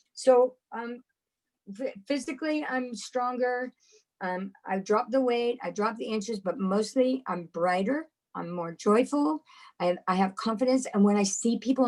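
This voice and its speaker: A woman has a normal speaking voice at a fairly high pitch. She uses ordinary pitch variation and a moderate pace. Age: 60s. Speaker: community member sharing testimony. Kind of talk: testimony.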